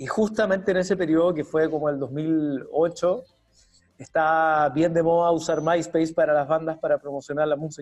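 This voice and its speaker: A man in a Chilean accent speaks at a moderate pace with a fairly high pitch and fairly even intonation. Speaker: UX designer and university teacher. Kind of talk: interview.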